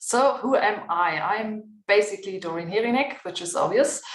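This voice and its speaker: A woman with a German accent speaks at fairly high pitch with lively intonation. Audible room echo surrounds her voice. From Germany. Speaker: physiotherapist and health education researcher. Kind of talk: panel discussion.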